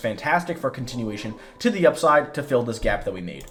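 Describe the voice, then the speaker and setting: A man's lively intonation and very fast pace carry over noticeable background noise. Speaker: market analyst. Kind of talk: market analysis tutorial.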